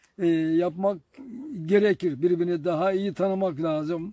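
With a dark, mellow tone and a high pitch, a man speaks at a moderate pace in a dry sound with no echo. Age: 80s+. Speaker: village elder. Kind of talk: interview answer, life story. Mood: reminiscing, calm, occasionally smiling. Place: garden.

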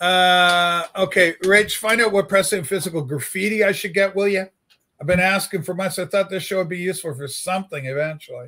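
A raised, projected voice with a bright, sharp tone moves at a fairly quick pace with ordinary pitch variation on a very clean recording with a silent background. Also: man, high pitch for a man. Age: 60s. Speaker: livestream host and record collector. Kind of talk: casual livestream chat. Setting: home studio livestream with webcam and USB microphone.

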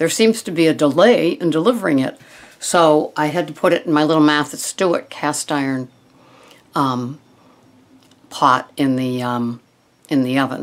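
At a moderate pace, a woman speaks with lively intonation in a very deep, low pitch. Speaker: wellness vlogger. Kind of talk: casual vlog chat. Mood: warm, enthusiastic. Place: home room. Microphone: webcam.

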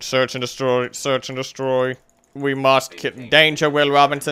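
A put-on character voice from a man, medium in pitch, moderate in pace. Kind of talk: comic robot impression. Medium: game stream.

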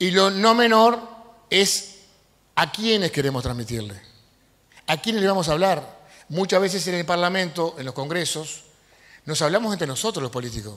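A man speaks in a high voice with a fairly bright tone. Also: lively intonation, moderate pace.

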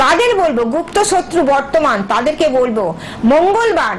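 Over light background noise, a woman speaks in a high pitch with lively intonation. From West Bengal, India. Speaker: astrologer and tantric spiritual guru; spiritual guide. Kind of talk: live TV phone-in, spiritual advice. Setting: TV studio. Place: studio. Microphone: lapel.

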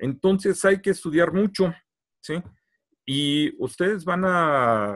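A man talks very slowly. Nothing much is heard behind him, as the background is quiet. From Mexico. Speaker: archaeologist; presenter. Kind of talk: lecture. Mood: friendly, engaging. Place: home room. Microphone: video call.

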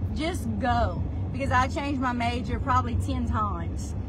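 A woman with a Louisiana accent and a very deep, low pitch, over loud background noise. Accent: Southern US, Louisiana. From South Louisiana. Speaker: real estate agent. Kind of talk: life story telling, personal vlog monologue. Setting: video recording, monologue to camera. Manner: earnest, conversational, emotionally candid. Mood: reflective, earnest storytelling. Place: car. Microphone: phone near.

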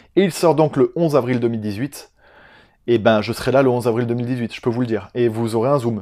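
Against a quiet background, a man speaks at a moderate pace and medium pitch with ordinary pitch variation. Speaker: film youtuber. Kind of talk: casual vlog monologue. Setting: home recording on a camera that cuts out. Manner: animated. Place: home room.

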